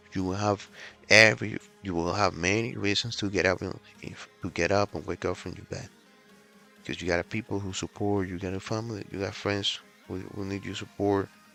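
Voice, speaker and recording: With music in the background, a man speaks at a fairly quick pace in a fairly low pitch and with fairly even intonation. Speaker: fitness vlogger. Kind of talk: casual vlog talk to camera. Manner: halting, many fillers and restarts.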